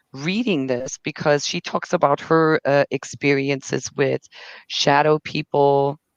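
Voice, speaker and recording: A woman with a German accent speaks at a fairly slow pace in a very deep, low pitch, her intonation fairly even and the sound dry and close with no echo. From Germany. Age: 30s. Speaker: livestreamer. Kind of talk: casual chat. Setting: livestream. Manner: halting, many repeated words.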